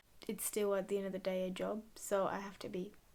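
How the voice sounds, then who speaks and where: This is a woman speaking. She goes at a moderate pace. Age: 20s. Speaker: former au pair. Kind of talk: casual talk to camera.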